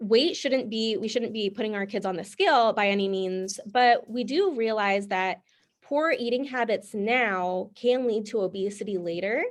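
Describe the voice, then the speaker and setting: A plain, everyday voice from a woman, fairly high in pitch, at a moderate pace over a quiet background. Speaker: nutrition class instructor. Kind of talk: online class lecture.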